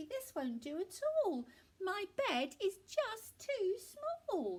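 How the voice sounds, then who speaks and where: In a squeaky put-on character voice, a woman speaks at an extremely high pitch with very wide pitch swings. Her pace is very slow. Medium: read story. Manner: warm, gentle.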